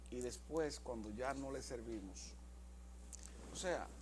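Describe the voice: At a slow pace, a man talks with a medium pitch. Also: ordinary pitch variation.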